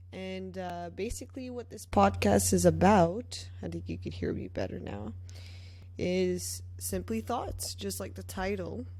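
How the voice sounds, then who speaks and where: A woman's very deep, low voice with a slight French accent, somewhat breathy and dark, mellow in tone, at a fairly slow pace with monotone, flat intonation and audible room echo. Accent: slight French accent on certain words. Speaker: podcast host and musician. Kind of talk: casual monologue. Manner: hesitant, many fillers.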